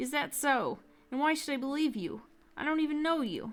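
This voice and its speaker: A woman performs a put-on character voice pitched high. She delivers it at a fairly quick pace. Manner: doubtful, scoffing.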